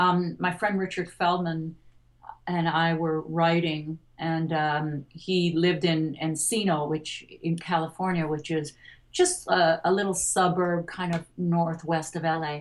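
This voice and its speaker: A woman with an American accent, monotone and flat, at a fairly slow pace. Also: fairly low pitch for a woman. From US, Detroit. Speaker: singer-songwriter. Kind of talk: interview conversation.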